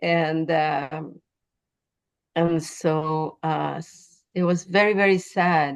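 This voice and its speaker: In a Spanish accent, a woman speaks at a very slow pace with a fairly low pitch and monotone, flat intonation. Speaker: poet. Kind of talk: interview. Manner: halting.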